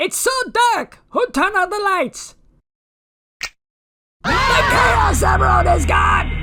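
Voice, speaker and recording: An extremely high-pitched, put-on character voice shouting at a fairly slow pace, with long and frequent pauses. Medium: dub.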